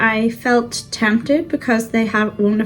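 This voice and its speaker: A woman's fairly high-pitched voice in a monotone, flat delivery, with music in the background. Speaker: frugal living vlogger. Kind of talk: casual cook-along vlog. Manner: chatty, with fillers.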